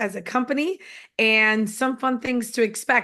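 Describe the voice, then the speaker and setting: A woman speaks with an American accent in a bright, sharp tone. Her pitch varies in an ordinary way, and the background is quiet. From New York. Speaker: network marketing executive. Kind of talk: motivational talk. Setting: conference call. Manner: animated.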